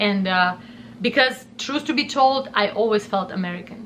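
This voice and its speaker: With a Russian accent, a woman talks at a moderate pace in a fairly high pitch with ordinary pitch variation. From southern Russia. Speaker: YouTuber. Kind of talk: personal storytime monologue. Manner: animated.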